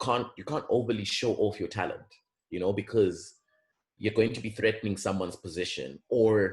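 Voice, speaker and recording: This man has an American accent and a somewhat breathy voice. He talks fairly quickly with fairly even intonation. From Zambia, Lusaka. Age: 20s. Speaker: interview guest. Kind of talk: podcast interview.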